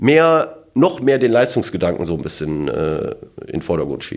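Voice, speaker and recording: A man speaks with vocal fry. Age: 50s. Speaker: amateur football coach and co-host. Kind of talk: casual chat. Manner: hesitant, many fillers.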